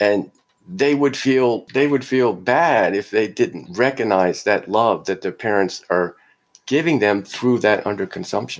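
This man has an unremarkable speaking voice, with medium pitch, lively intonation and a fairly slow pace. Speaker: sociologist professor. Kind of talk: academic interview, argumentative.

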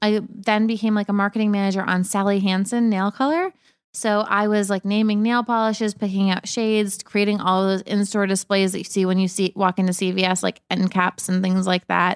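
On a very clean recording with a silent background, a woman at medium pitch speaks in a monotone, flat intonation with very even loudness and hardly any pauses, the sound dry and close with no echo. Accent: American. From Massachusetts, Cape Cod. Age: 30s. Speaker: lifestyle blogger. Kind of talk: casual interview chat.

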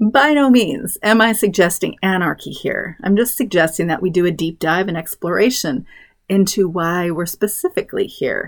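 In a plain, everyday voice, a woman speaks at medium pitch and a moderate pace with lively intonation, on a very clean recording with a silent background. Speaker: podcast host, homeschool mom. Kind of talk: scripted solo podcast monologue.

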